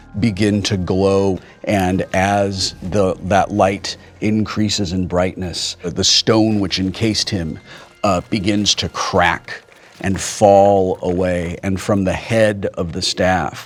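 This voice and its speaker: A man talks very slowly in a fairly low voice with monotone, flat intonation. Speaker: game master running a tabletop role-playing game. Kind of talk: tabletop RPG game master narration of scene. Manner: descriptive scene narration, slow pacing with pauses.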